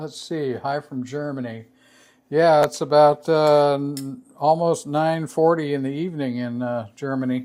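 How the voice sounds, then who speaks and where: With an American accent, the speaker moves along at a fairly slow pace. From United States. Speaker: razor sharpening youtuber. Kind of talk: livestream tutorial. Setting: live stream. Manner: halting, many fillers and repeats.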